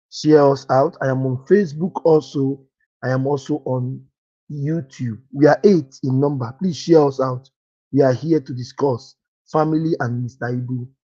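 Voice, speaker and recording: A man's fairly high voice with a dark, mellow tone. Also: ordinary pitch variation, moderate pace. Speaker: live stream host. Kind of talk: casual live stream chat. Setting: live stream. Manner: repetitive, talking loudly to be heard.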